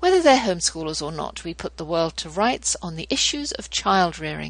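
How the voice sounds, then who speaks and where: Her accent is British. The woman keeps to a moderate pace. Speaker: homeschooling podcast host. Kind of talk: interview with scripted devotional reading. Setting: radio show.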